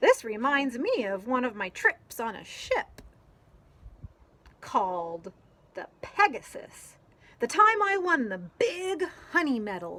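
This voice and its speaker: Putting on a character voice, a female-sounding speaker with a high pitch goes at a fairly slow pace, leaving long, frequent pauses. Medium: read story. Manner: boastful, storytelling.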